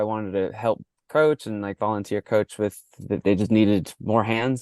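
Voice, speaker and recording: A man with an American accent speaks at a moderate pace, his voice dry and close with no echo against a quiet background. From US (New York), born in Mexico. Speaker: soccer coach and coach developer. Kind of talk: podcast interview. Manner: halting with many repeated words.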